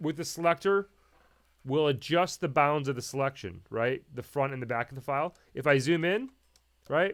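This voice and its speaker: A man's voice with ordinary pitch variation over a quiet background. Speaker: audio editing instructor. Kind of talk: tutorial. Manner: fast; casual, halting with fillers. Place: home room.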